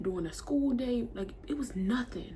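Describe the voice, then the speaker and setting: With audible room echo and noticeable background noise, a woman speaks at a fairly high pitch using lively intonation. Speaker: beauty vlogger. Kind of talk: casual storytime while doing makeup. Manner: fast; animated.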